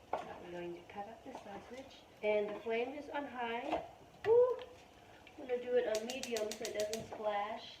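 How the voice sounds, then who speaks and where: Against noticeable background noise and audible room echo, a woman with a fairly high pitch and ordinary pitch variation talks at a moderate pace, her loudness swinging widely. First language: not English (English is third language). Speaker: home cooking vlogger. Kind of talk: cooking tutorial. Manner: casual, chatty.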